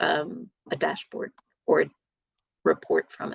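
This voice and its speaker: A woman speaks at a very slow pace with a strong American accent. The sound is dry and close, with no echo. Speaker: data and analytics manager. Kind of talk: conference Q&A. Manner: hesitant, many fillers.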